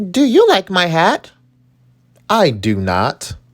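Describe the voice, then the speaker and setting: Speaking fairly slowly, the man uses a put-on character voice. It sits high in pitch. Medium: read story.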